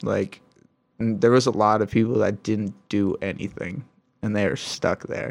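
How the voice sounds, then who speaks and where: A man with an American accent has an unremarkable speaking voice, fairly low in pitch, with fairly even intonation at a moderate pace. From Michigan. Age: 20s. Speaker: pro scooter rider. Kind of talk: casual chat.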